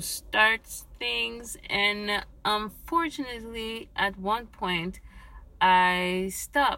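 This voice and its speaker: In a French accent, a woman speaks at a very slow pace with a bright, sharp tone. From Quebec, Canada. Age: 30s. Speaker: Uber Eats driver, new podcaster. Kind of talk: casual solo talk recorded on phone. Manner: halting, searching for words.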